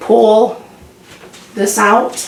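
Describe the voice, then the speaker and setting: Noticeable background noise sits behind a voice with monotone, flat intonation. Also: woman. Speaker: home cook video host. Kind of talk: casual cooking talk to camera.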